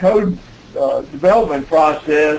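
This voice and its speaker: A man with an Alabama accent at a fairly slow pace, with noticeable background noise and audible room echo. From US South, Alabama. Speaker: building code expert presenter. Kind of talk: webinar presentation. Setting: conference call. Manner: halting, many fillers.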